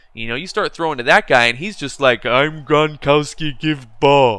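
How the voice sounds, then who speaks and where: A man speaks at a moderate pace in a fairly high pitch with a bright, sharp tone. The recording is very clean, with a silent background. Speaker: gaming commentator. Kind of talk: casual commentary. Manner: halting; casual.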